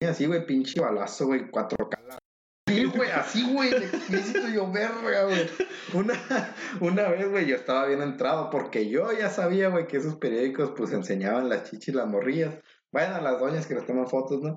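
With very wide pitch swings, a man with a fairly high pitch talks at a moderate pace. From Estado de México. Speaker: podcast co-host. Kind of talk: casual chat.

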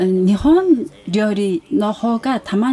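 With a Mongolian accent, a woman talks at a fairly high pitch with lively intonation over noticeable background noise. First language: Mongolian (speaking Japanese). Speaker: international exchange program coordinator. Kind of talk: interview.

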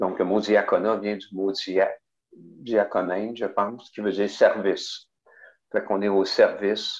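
A man's very slow delivery, with long, frequent pauses and a quiet background. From Quebec, Bas-Saint-Laurent. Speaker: parish pastoral worker and deacon. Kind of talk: interview.

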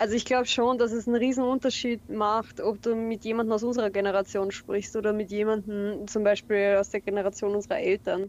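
A woman's fairly high, monotone voice at a fairly quick pace, with hardly any pauses. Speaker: translator, Japanese studies graduate. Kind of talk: casual chat. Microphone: phone microphone.

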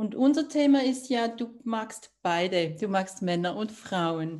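Here a woman speaks at a fairly high pitch with very wide pitch swings. Her voice is somewhat breathy, and the background is quiet. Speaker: podcast host, author. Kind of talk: interview.

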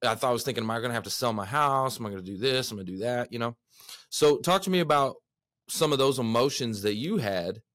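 With a Texan accent, a man of medium pitch talks at a very fast pace with ordinary pitch variation. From Texas. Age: 30s. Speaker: podcast host. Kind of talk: casual interview. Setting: studio. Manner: energetic.

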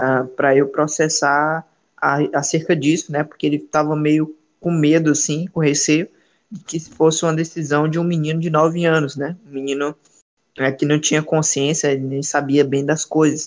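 A man's voice sits fairly high and stays monotone and flat, delivered at a moderate pace. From Ceará, Brazil. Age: 20s. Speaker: evangelist. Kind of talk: podcast interview.

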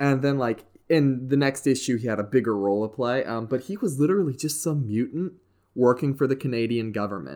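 With an ordinary speaking voice and an American accent, a man talks at a fairly quick pace in a medium pitch with ordinary pitch variation, in a very clean recording with a silent background. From US South, West Virginia. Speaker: podcast host. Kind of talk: casual chat.

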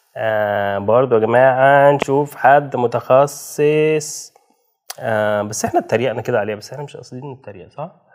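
Medium pitch and ordinary pitch variation from a man at a moderate pace, with loudness rising and falling widely. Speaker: podcast co-host. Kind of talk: casual chat.

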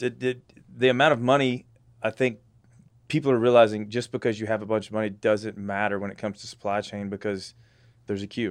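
A man with a Texan accent at a very fast pace, fairly low in pitch and fairly even in intonation, with long, frequent pauses against a quiet background. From Texas. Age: 40s. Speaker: navy veteran, industry sales professional. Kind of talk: casual chat.

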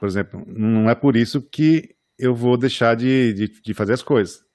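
The recording is very clean, with a silent background and a dry, close sound free of echo. A man speaks at a medium pitch. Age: 40s. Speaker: architect and podcast host. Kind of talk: casual chat. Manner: halting.

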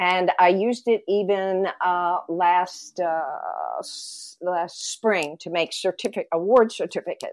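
A woman at medium pitch, very slow pace and fairly even intonation, with a dry, close sound with no echo and a quiet background. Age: old. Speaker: retired teacher and podcast co-host. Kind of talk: casual chat.

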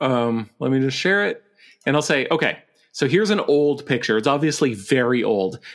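A man's fairly high voice, a plain, everyday voice, with an American accent, a moderate pace and very even loudness. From Montana (Billings). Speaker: podcast host, guest. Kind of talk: casual chat.

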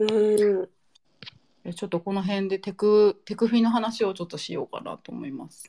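A woman with a dark, mellow tone and medium pitch speaks with fairly even intonation, long, frequent pauses and big swings in loudness. The sound is dry and close, with no echo. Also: moderate pace. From Nara, Japan. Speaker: podcast host. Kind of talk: casual chat.

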